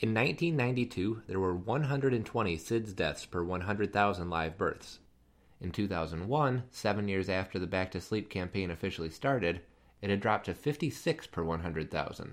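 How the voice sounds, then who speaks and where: An unremarkable speaking voice from a man, fairly low in pitch, with lively intonation, a fairly slow pace, and a very clean recording with a silent background. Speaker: pediatric education podcast host. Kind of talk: scripted narration.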